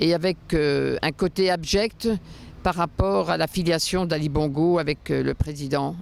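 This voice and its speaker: A woman at a very deep, low pitch, fairly slow pace and very even loudness. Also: ordinary pitch variation. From France. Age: 60s. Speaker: interviewee, former luxury real estate professional. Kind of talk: interview testimony. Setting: outdoors on the Seine quays.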